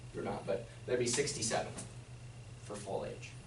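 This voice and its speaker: A man speaks at medium pitch and a fairly quick pace. Noticeable background noise and audible room echo are present. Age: 30s. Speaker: financial advisor giving retirement workshop. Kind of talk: workshop presentation.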